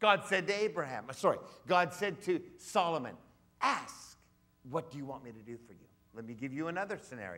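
With a high pitch and a bright, sharp tone, a man talks at a fairly quick pace in an animated, theatrical way, with very wide pitch swings and big swings in loudness. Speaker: guest preacher. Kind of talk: sermon. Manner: emphatic, theatrical, mimicking voices, audience-interactive. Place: church.

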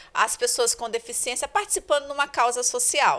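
A woman's high-pitched, raised and projected voice, bright and sharp in tone, with lively intonation. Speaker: school staff organizer. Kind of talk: interview answers. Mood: cheerful, grateful. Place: home room. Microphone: handheld.

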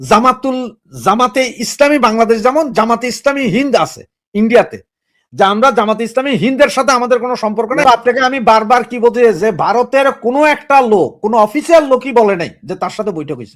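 Ordinary pitch variation comes through on a very clean recording with a silent background. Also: man, extremely high pitch for a man. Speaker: political talk show commentator. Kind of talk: political commentary monologue. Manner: animated.

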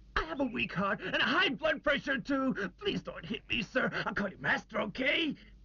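A high-pitched, whiny put-on character voice carries a whiny tone throughout. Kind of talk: comic overacting. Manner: blustering, then whiny and pleading.

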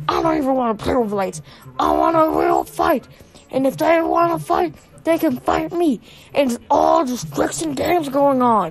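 A put-on character voice, high in pitch, delivered at a moderate pace. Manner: blustering, excuse-making, bravado.

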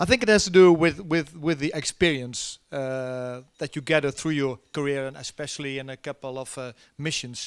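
A man with a Dutch accent speaks at a moderate pace with ordinary pitch variation. His loudness swings a lot against a quiet background. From Netherlands. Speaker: army general; keynote guest. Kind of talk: keynote talk and Q&A. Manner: halting with many fillers. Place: stage. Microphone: handheld.

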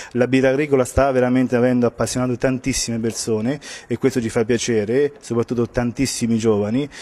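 The speech runs at a very fast pace, delivered in a monotone with flat intonation. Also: man. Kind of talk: interview answer. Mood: proud, positive. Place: hall. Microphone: handheld.

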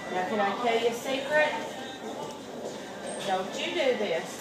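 A woman at a fairly slow pace with ordinary pitch variation, over loud background noise. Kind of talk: casual chat while working. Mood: warm, playful. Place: shop. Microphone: camera far.

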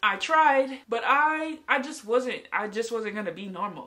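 A woman speaks at a high pitch and a moderate pace. Her tone is animated and her intonation is lively. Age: 20s. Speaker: youtuber. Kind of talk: casual vlog storytelling. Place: home room. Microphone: phone near.

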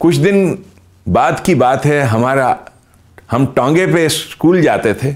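At a very slow pace with long, frequent pauses, a man with a fairly high pitch speaks at very even loudness with ordinary pitch variation against a quiet background. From Pakistan, Khyber Pakhtunkhwa. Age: 60s. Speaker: religious commentator. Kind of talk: lecture. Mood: warm, amused. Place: studio.

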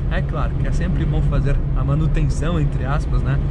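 A man speaks at moderate speed, his pitch varying ordinarily, beneath loud background noise. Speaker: car vlogger driving. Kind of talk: casual vlog chat. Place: car. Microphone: phone near.

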